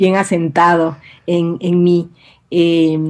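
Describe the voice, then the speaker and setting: In an Ecuadorian highland accent, a woman speaks at a medium pitch. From Ecuador, Quito (born Guayaquil). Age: 50s. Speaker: writer and university professor. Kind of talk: interview. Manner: hesitant, many fillers.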